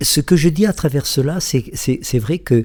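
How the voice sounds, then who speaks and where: His intonation is lively. The man's tone is dark and mellow. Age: 70s. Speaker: author and psychosociologist. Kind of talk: radio interview. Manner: halting.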